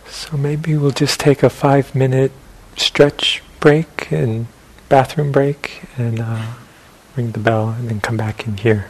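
Through noticeable background noise, a man speaks very slowly in a calm tone at a medium pitch. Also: big swings in loudness. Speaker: meditation teacher. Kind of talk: guided meditation. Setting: meditation center with a live audience. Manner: slow, calm, soft-spoken with long pauses.

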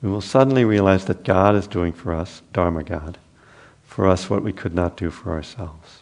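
A man's very deep, low voice at a moderate pace with ordinary pitch variation. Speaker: meditation teacher. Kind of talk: guided meditation and dharma talk. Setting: meditation center with live audience.

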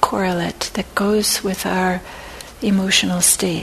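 A woman's medium-pitched voice, calm and gentle in tone, amid noticeable background noise. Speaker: meditation teacher. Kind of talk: guided meditation. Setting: meditation center talk, recorded for an audience. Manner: slow, calm, soft-spoken; gentle, with long pauses.

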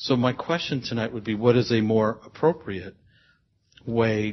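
The speech moves at a moderate pace and sounds somewhat breathy. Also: man. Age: 60s. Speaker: audience member. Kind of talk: question from audience. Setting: meditation center with audience.

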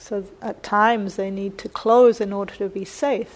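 A woman speaks with a New Zealand accent at a fairly high pitch. Her pace is fairly slow and her intonation fairly even. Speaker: meditation teacher giving a Dharma talk. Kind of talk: Dharma talk. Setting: meditation center with live audience.

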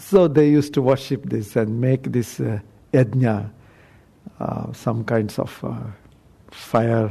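Slow and somewhat breathy, a man speaks at a very slow pace with long, frequent pauses, a dark, mellow tone, medium pitch and ordinary pitch variation. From South India. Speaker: Buddhist monk. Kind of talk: dharma talk. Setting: meditation center talk with audience.

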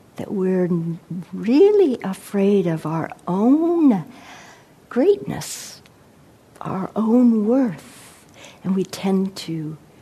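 Noticeable background noise sits behind a woman of medium pitch. She speaks at a very slow pace with lively intonation and long, frequent pauses. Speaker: meditation teacher giving a dharma talk. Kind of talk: dharma talk with poetry reading. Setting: meditation center with audience. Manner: slow, contemplative, reflective.

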